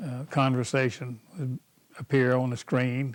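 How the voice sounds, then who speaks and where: A man talks at a very slow pace and a medium pitch. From East Texas. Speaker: retired farmer. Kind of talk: oral history interview answer. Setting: at home, VHS recording.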